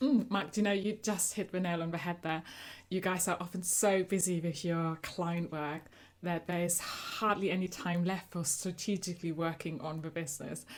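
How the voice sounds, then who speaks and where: In a German accent, a woman with a fairly low pitch speaks at a moderate pace with fairly even intonation. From Germany. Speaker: agency coach. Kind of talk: interview.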